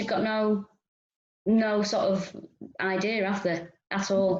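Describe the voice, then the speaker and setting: Long, frequent pauses break up a woman's fairly high-pitched speech. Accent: Manchester. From north and east Manchester. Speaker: stand-up comedian. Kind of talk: interview chat.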